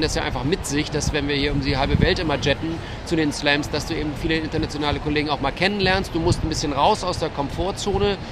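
Over noticeable background noise and audible room echo, a man talks at a fairly quick pace in a fairly high pitch with ordinary pitch variation. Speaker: freelance sports journalist. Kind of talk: casual chat. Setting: outdoors at tennis tournament media area.

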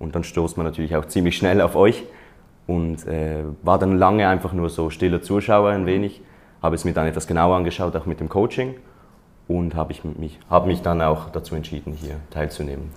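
With very deep, low pitch and fairly even intonation, a man speaks at a fairly quick pace. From Switzerland. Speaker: career coaching client, aspiring student. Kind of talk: interview.

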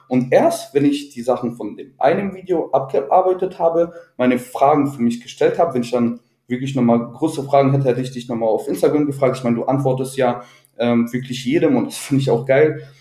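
A man's fairly high, somewhat breathy voice, dark and mellow in tone, with ordinary pitch variation at a fairly quick pace. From Ruhr area, Germany. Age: 20s. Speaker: IT employee. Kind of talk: interview. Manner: halting, many fillers.

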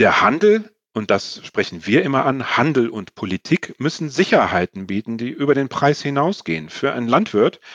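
With very wide pitch swings and hardly any pauses, a man speaks at a moderate pace and medium pitch in a dry, close sound with no echo. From Sweden. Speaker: nonprofit sustainability expert. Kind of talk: interview. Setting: video call.

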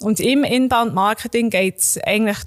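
Here is a woman with a plain, everyday voice at a moderate pace and fairly even intonation. The sound is dry and close, with no echo. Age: 30s. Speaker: marketing expert. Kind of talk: explanatory interview.

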